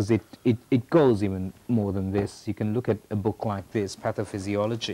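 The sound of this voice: At a moderate pace, a man speaks in a fairly low, dark, mellow voice with fairly even intonation.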